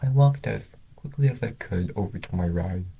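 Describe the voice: A man speaks at a fairly slow pace in a low voice with fairly even intonation, vocal fry, a slightly husky edge and a dark, mellow tone.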